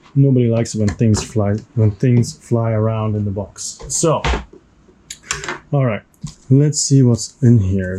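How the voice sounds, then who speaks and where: Someone with a non-native accent speaks at a fairly slow pace with ordinary pitch variation over noticeable background noise. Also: man. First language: not English. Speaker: board game unboxing youtuber. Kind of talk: unboxing video commentary. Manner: casual, with hesitations.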